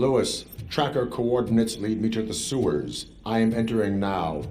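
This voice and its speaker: Putting on a character voice, a man speaks at a moderate pace and medium pitch over clear background noise. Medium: video game. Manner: flat, formal, clipped.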